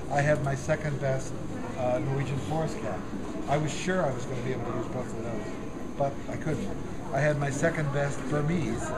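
A man is talking fairly quickly. Loud background noise runs under his words. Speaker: cat show judge. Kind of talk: public address to show audience. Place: hall. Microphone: camera far.

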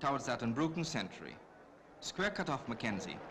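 At a moderate pace, a man speaks with an excited tone, a bright, sharp voice, a fairly high pitch and vocal fry. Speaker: cricket commentator. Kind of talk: 1965 cricket film commentary, scripted newsreel-style narration. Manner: brisk, clipped, formal newsreel delivery; measured, polished, gently excited at key moments.

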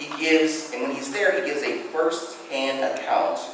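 With strong room echo and noticeable background noise, a man with a fairly high pitch speaks at a moderate pace. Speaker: guest preacher. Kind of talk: sermon. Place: church. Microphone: podium.

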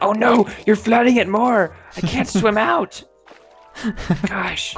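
A strained, put-on character voice at a fairly high pitch, fairly slow pace, with music in the background. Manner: panicky, strained.

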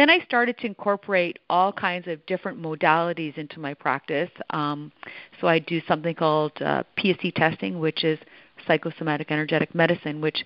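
A woman speaks with a Canadian accent at a fairly quick pace. Her pitch is very deep and low. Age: 50s. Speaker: holistic nutritionist and author. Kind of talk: radio interview. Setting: phone call.

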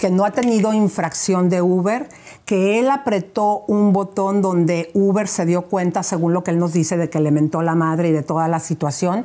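Her tone is dark and mellow. The woman keeps a moderate pace with ordinary pitch variation. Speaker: gossip show host. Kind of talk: phone interview. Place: studio. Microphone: lapel.

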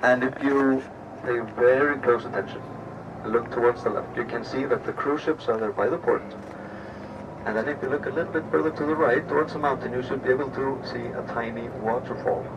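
A man talks at a fairly quick pace with ordinary pitch variation, and noticeable background noise is present. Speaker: tour guide. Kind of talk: tour commentary. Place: bus.

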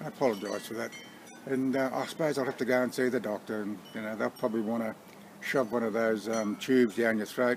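A man with an Australian accent talks at a very fast pace and medium pitch. His intonation stays fairly even over light background noise. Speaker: vlogger. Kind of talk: casual talk to camera. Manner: hesitant, umming and ahing. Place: garden. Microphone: phone near.

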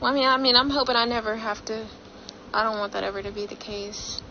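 Over light background noise, a woman uses lively intonation at a moderate pace. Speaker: livestreamer. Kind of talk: casual livestream chat. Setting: livestream, partly video call. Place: home room. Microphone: phone near.

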